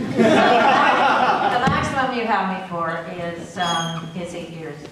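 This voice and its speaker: Amid audible room echo and noticeable background noise, a woman talks with ordinary pitch variation. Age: 60s. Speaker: politician. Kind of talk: acceptance speech. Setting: meeting hall with audience.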